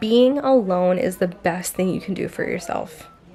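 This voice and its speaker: Woman at a moderate pace amid noticeable background noise. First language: not English. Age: 20s. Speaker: lifestyle vlogger. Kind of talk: casual vlog monologue.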